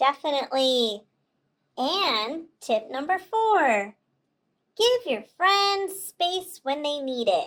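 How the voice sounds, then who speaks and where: In a cartoonish character voice, a woman with a high pitch speaks at a very slow pace with very wide pitch swings. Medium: puppet. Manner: calm, earnest.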